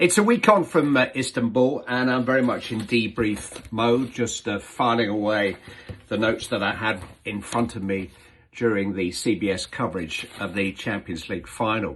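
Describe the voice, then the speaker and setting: Here is a man with an ordinary speaking voice at a medium pitch. He keeps a moderate pace and ordinary pitch variation. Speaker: football commentator. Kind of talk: casual talk to camera.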